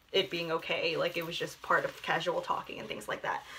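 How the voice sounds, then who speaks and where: Noticeable background noise runs through the clip. A woman talks over it. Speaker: book vlogger. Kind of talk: casual monologue.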